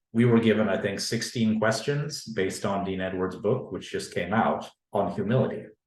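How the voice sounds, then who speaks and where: At a moderate pace, a man speaks at a fairly low pitch with fairly even intonation, and audible room echo. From Canada. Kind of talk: academic panel talk. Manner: formal.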